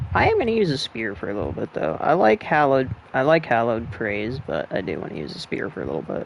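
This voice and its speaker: Talking very fast with hardly any pauses, a man at a medium pitch shows very wide pitch swings and vocal fry. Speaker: gaming streamer. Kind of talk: let's play commentary. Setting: at home late at night, family asleep. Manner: quiet, subdued.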